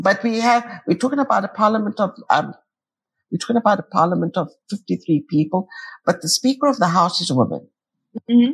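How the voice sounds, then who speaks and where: A woman with a medium pitch speaks at a fairly quick pace, her intonation lively and her voice somewhat breathy. Long, frequent pauses break it up, and the sound is dry and close with no echo. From Cyprus. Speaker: peacebuilder and podcaster. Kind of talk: interview conversation.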